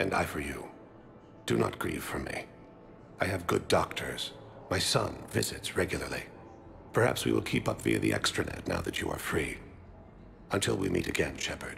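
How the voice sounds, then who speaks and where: Over clear background noise, a man uses a put-on character voice with a very deep, low pitch. He speaks at a moderate pace with long, frequent pauses. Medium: video game. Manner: calm, formal, no contractions.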